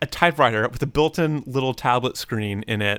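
A normal speaking voice delivered at a moderate pace. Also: man. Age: 30s. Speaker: musician podcast host. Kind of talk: casual chat. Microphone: new condenser mic.

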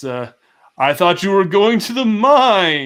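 Doing a put-on character voice, a man speaks at a high pitch with very wide pitch swings. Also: very clean recording, silent background. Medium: actual play. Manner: scornful, taunting.

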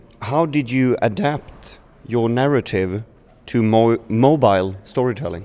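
A man with a Swedish accent talks at a medium pitch and fairly slow pace, his dark, mellow tone holding very even loudness with ordinary pitch variation. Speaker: podcast host. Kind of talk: interview. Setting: festival. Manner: slightly halting.

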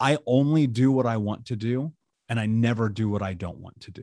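Here a man talks in an American accent at medium pitch, with ordinary pitch variation and a moderate pace. The sound is dry and close, with no echo. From United States. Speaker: author and coach for abuse survivors. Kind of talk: interview testimony.

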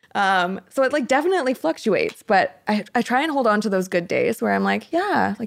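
An ordinary speaking voice with a Canadian accent and lively intonation, in a dry, close sound with no echo. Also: woman. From Canada. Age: 20s. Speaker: mental health advocate. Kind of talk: interview.

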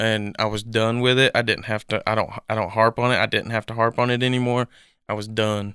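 A man with an East Tennessee accent speaks at a fairly quick pace in a medium pitch, his tone bright and sharp and his intonation monotone and flat, on a very clean recording with a silent background. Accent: East Tennessee Southern US. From Tennessee, Knoxville area. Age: 20s. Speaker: adopted son. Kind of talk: personal testimony interview.

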